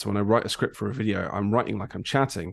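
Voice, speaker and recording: With an English accent, a man speaks at a fairly low pitch and with fairly even intonation over a quiet background. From England. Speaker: graphic designer and content creator. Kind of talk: podcast interview. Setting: podcast recording. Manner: halting, many ums and ahs.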